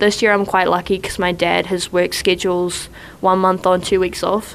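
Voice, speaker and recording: A woman's medium-pitched voice with a New Zealand accent. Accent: New Zealand, noticeable. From New Zealand, east coast North Island. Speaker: college basketball player. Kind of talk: casual interview chat. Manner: casual, filler-heavy.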